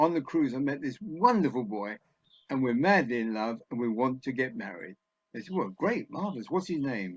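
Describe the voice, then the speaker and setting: A voice with an English accent, very wide pitch swings and a moderate pace against a quiet background. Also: man, medium pitch for a man. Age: 80s+. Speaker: comedy scriptwriter. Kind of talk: after-dinner talk.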